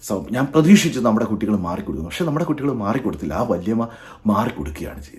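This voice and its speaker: A man talks with vocal fry and very wide pitch swings. His loudness shifts in big swings. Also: medium pitch for a man. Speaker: YouTube vlogger. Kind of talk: monologue to camera.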